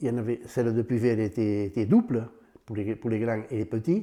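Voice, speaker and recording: A man talks at a medium pitch with a dark, mellow tone. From southern France, Aude (Puivert area). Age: 90s. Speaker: retired farmer. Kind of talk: interview testimony. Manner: halting.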